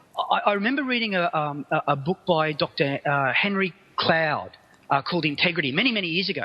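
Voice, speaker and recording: Speaking in an Australian accent, the voice moves at a fairly quick pace with lively intonation. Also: man, high pitch for a man. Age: 50s. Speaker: business speaker and consultant. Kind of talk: interview. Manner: halting, many repetitions.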